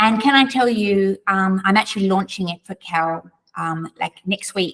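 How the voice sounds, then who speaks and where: A woman with an Australian accent talks at a moderate pace with ordinary pitch variation, the sound dry and close with no echo. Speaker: author. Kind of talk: interview.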